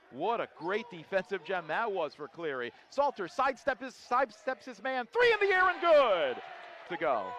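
The voice makes very wide pitch swings in a dry sound with no echo over light background noise. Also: man, moderate pace. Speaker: play-by-play announcer. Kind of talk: live sports commentary. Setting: arena broadcast with crowd. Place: stadium. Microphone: headset.

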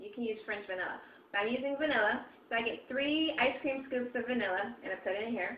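Through light background noise and audible room echo, a woman speaks with ordinary pitch variation. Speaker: home recipe vlogger. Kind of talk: casual tutorial chat. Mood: cheerful, relaxed. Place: kitchen. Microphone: webcam.

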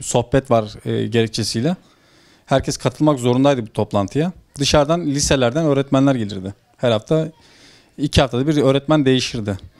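A man speaks fairly quickly, his pitch varying in an ordinary way, with a quiet background behind him. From Turkey, Ordu (Aybastı); Turkey. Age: 30s. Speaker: former textile company manager, whistleblower; interviewee. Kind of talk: interview testimony. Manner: halting. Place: home room. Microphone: handheld.

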